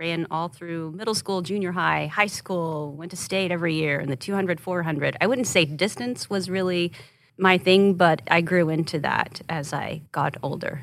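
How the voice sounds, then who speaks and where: An ordinary speaking voice, a woman's is fairly low in pitch with ordinary pitch variation, in an American accent at a moderate pace with hardly any pauses. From Oklahoma, Rush Springs. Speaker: TV news anchor. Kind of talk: casual interview chat.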